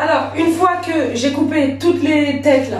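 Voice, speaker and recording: A high-pitched woman's voice at a fairly slow pace, with ordinary pitch variation, audible room echo, and faint music in the background. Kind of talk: casual cooking tutorial. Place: kitchen. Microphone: camera far.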